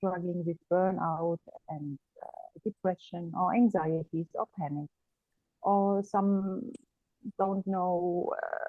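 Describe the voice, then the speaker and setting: A woman with a German accent at medium pitch, very slow, with long, frequent pauses and ordinary pitch variation. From Germany. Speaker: energy therapist. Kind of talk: interview conversation. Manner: hesitant, many fillers.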